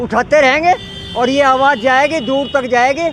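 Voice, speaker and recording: A man with an extremely high pitch talks in fairly even intonation over noticeable background noise. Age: 70s. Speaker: retired doctor and protester. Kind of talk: street interview.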